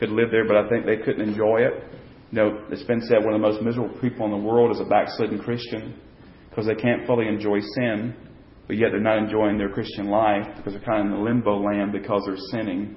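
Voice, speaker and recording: Speaking at a fairly quick pace, a man uses a fairly low pitch and a monotone, flat intonation. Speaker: church Bible study teacher. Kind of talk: Bible study class teaching. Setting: church classroom with group. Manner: halting with frequent fillers.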